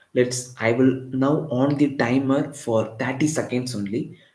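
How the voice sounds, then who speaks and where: In a somewhat breathy voice with a Tamil accent, the speaker is heard with audible room echo. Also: man. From Tamil Nadu, India (Chennai). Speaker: physics teacher. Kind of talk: live online lecture.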